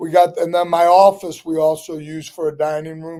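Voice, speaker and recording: A high-pitched man with a St. Louis accent, a dark, mellow tone, monotone, flat intonation and a moderate pace. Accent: Midwestern American, St. Louis. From St. Louis, Missouri, Italian neighborhood. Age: 60s. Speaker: restaurant owner. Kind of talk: casual interview chat.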